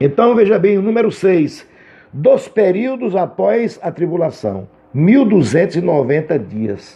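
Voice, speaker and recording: Speaking at a fairly slow pace, a man uses a high pitch that swings very widely. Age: 60s. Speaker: Bible teacher. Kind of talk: lecture. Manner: halting.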